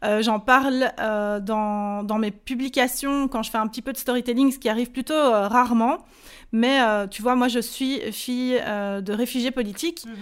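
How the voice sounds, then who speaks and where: Speaking at a fairly slow pace with a Belgian accent, a woman's high-pitched voice comes through on a very clean recording with a silent background. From Belgium. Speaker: online business coach. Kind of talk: interview. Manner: energetic.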